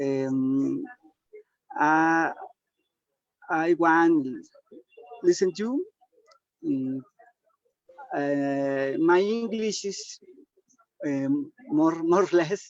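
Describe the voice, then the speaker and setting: A man with a Spanish accent, high-pitched with lively intonation, at a very slow pace with long, frequent pauses. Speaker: webinar attendee. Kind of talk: casual chat. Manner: halting.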